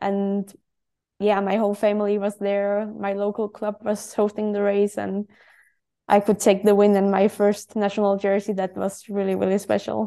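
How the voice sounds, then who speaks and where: A woman speaks in a dark, mellow tone with a Danish accent. Her medium-pitched voice is monotone and flat, at a moderate pace against a quiet background. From Denmark. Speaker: professional cyclist. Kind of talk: interview.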